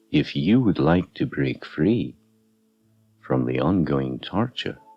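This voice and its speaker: Music plays in the background as a man speaks very slowly at a very deep, low pitch. His tone is calm, yet his pitch swings very widely. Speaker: hypnotherapist. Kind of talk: guided meditation / hypnotherapy narration. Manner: slow, calm.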